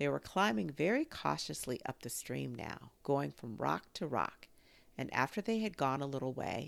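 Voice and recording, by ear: This clip is someone reading aloud in a natural voice.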